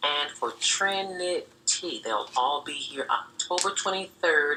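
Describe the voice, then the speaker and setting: A woman talks at a very slow pace with ordinary pitch variation. Noticeable background noise runs underneath. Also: fairly low pitch for a woman. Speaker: radio DJ. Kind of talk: radio DJ talk, gospel station.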